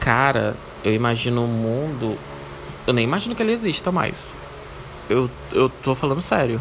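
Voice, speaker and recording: A man at medium pitch speaks at a moderate pace with ordinary pitch variation and very even loudness, leaving long, frequent pauses. Noticeable background noise is present. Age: 20s. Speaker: podcast host. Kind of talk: casual solo Q&A monologue.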